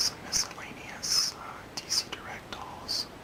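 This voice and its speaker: Whispering comes through with noticeable background noise behind it. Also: man. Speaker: ASMR creator. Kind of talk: casual talk to camera. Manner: whispered, soft-spoken.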